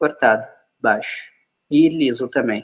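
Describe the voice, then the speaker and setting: A man speaks at a fairly slow pace, his pitch fairly high with ordinary variation. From Rio Grande do Sul, Brazil. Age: 20s. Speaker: app developer and trainer. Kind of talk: live video interview. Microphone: phone held at shoulder height, wearing earphones.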